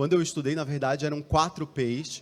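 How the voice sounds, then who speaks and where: A man talks at a fairly quick pace. He has a Recife accent. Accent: northeastern Brazilian (Recife). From Brazil, Recife, Pernambuco. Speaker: marketing executive. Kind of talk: conference talk. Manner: hesitant, many fillers.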